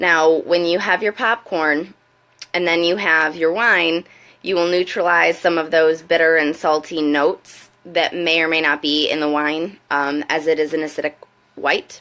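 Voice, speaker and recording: This woman's voice sits at a fairly low pitch, with a bright, sharp tone and a moderate pace. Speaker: wine consultant. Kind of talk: casual live video talk to camera. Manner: hesitant, many fillers.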